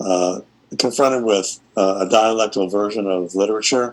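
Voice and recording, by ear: Pitch moves in an ordinary way. The reading aloud is done in a natural voice.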